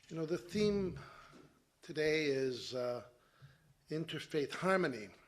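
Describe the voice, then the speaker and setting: A fairly high-pitched man with ordinary pitch variation, in audible room echo. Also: fairly slow pace. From Montreal, Quebec. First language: Italian. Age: 60s. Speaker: interfaith organization president. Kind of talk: conference speech. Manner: some hesitations.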